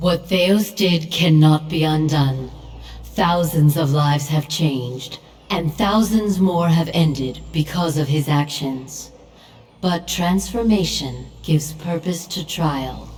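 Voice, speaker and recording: A put-on character voice at a middle pitch. The pace is fairly slow. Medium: video game. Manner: solemn, authoritative.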